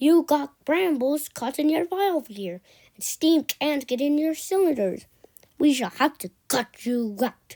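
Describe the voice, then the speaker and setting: This woman puts on a character voice, pitched high and delivered fairly slowly. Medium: read story. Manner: matter-of-fact.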